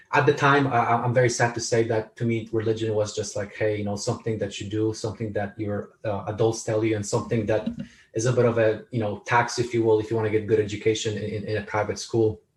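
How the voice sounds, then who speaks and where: Talking very fast with hardly any pauses, a man with a Polish accent sounds somewhat breathy and keeps a monotone, flat intonation. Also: medium pitch for a man. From Poland. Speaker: author and speaker. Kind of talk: interview. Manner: halting, many repetitions.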